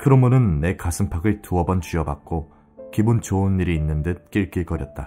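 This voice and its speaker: Music plays in the background as a man speaks at a moderate pace. His pitch is very deep and low, with ordinary variation. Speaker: audiobook narrator. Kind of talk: audiobook reading for sleep.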